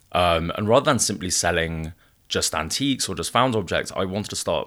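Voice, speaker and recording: On a very clean recording with a silent background, a man talks very fast with ordinary pitch variation. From Wales. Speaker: gallery founder. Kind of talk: interview.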